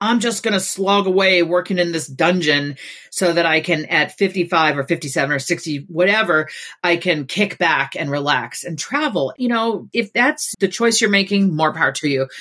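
Bright and sharp in tone, a woman with an American accent speaks at a moderate pace with lively intonation. The recording is very clean, with a silent background. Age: 50s. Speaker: author and former university dean. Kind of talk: interview.

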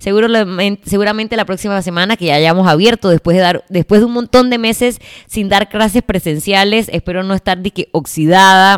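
A woman talks at a fairly quick pace in an animated tone. The sound is dry and close, with no echo. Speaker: fitness coach and gym owner. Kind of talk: casual solo podcast monologue.

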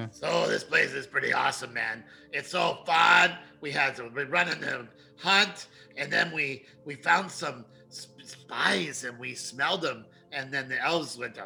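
Faint music plays behind a man doing a put-on character voice, fairly high-pitched and fairly slow.

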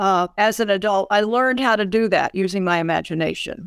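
A woman with a medium-pitched voice talks at a moderate pace, recorded very cleanly against a silent background with a dry, close sound and no echo. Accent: Southern US. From US South, Birmingham, Alabama. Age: 70s. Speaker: author. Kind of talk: interview. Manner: halting.

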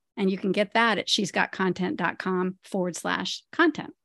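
A woman speaks in an ordinary speaking voice, at a medium pitch with an American accent and ordinary pitch variation. The sound is dry and close with no echo, over a quiet background. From US Midwest (rural Ohio). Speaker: retired pediatrician and lifestyle coach. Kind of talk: interview.

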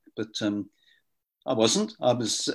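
A man talks with vocal fry over a quiet background. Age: 70s. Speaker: author and ultra runner. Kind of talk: casual interview chat.

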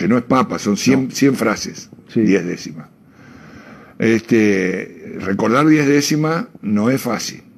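Speech comes at a very slow pace with a Uruguayan accent. The intonation is lively. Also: man, medium pitch for a man. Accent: Uruguayan Rioplatense Spanish. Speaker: murga lyricist and writer. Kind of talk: interview.

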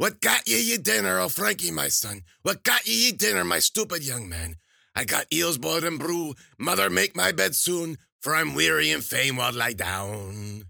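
A man's put-on character voice at medium pitch, cackling with very wide pitch swings at a moderate pace, in a very clean recording with a silent background. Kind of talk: comic grotesque overacting. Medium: read story. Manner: crude, cackling, mocking.

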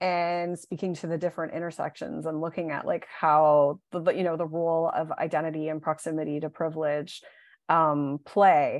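A woman speaks at a moderate pace in a very deep, low voice with monotone, flat intonation over a quiet background. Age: 40s. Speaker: body image coach. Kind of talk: casual interview.

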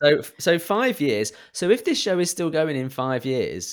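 With a British accent, a man speaks at a fairly high pitch, with vocal fry. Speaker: podcast co-host. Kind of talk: casual chat. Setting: remote call between UK and US.

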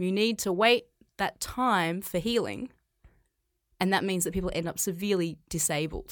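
A woman with an Australian accent, fairly even intonation and long, frequent pauses, on a very clean recording with a silent background. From Australia, rural farm. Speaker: physiotherapist, pain management practitioner. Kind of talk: interview conversation.

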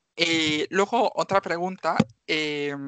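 A woman with a fairly low pitch speaks in a bright, sharp tone with ordinary pitch variation, her voice dry and close with no echo against a quiet background. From Galicia, Spain (Marín, Pontevedra). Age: 20s. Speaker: X-ray technician and nursing student. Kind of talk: interview.

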